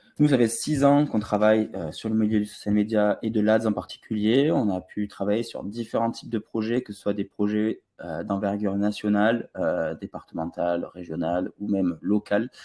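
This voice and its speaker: A man with a slight southern French accent speaks at a moderate pace with hardly any pauses and a fairly low pitch. His tone is dark and mellow, with ordinary pitch variation and big swings in loudness. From southern France, Toulouse. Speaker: online ads trainer. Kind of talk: webinar presentation. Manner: hesitant, many filler sounds.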